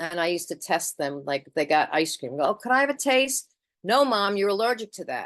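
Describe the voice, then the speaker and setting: A normal speaking voice with lively intonation moves at a moderate pace. The background is quiet. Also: woman. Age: 60s. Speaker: twelve-step meeting speaker. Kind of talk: testimony. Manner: conversational.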